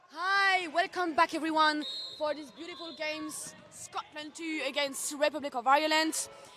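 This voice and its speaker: A woman's high, raised, projected voice in a French accent at a moderate pace, with big swings in loudness and music in the background. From France. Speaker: sports commentator. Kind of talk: live commentary. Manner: animated.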